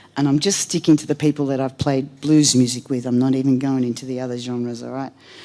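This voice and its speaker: Very deep and low in pitch, a woman speaks with an Australian accent and a dark, mellow tone. Her delivery is fairly quick, with monotone, flat intonation. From Australia, Melbourne outskirts. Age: 60s. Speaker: blues singer, hall of fame inductee. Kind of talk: acceptance speech. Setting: stage with audience at music hall. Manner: casual, with many filler ums.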